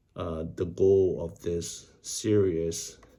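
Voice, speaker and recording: Audible room echo surrounds a man whose voice has a dark, mellow tone. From Vietnam, moved to US in 1998. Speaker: YouTuber practising English reading. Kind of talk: casual vlog intro and reading aloud. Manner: hesitant, with fillers.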